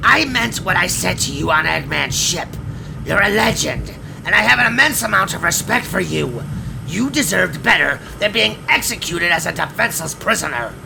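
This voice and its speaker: Through loud background noise, a man puts on a character voice at a moderate pace. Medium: audio drama. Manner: defiant, hard, proud.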